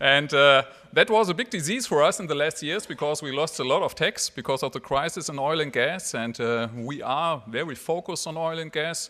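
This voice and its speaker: With a German accent and hardly any pauses, a man speaks in a bright, sharp tone at a fairly high pitch, with ordinary pitch variation. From Germany. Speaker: mayor. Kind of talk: speech. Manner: halting.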